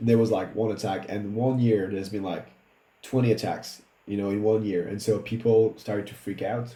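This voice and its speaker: A man with a French accent speaks at a fairly low pitch in a dark, mellow tone. His intonation is monotone and flat, his pace moderate, with audible room echo. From Réunion Island. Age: 30s. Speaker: improviser and musician. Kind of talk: casual chat. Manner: halting, many fillers and restarts.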